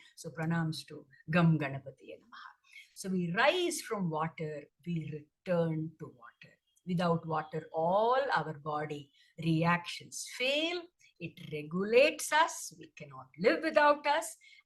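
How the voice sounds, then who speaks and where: A woman with fairly low pitch, lively intonation, a somewhat breathy sound and big swings in loudness. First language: Tamil. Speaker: dancer. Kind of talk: presentation talk. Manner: hesitant, many fillers.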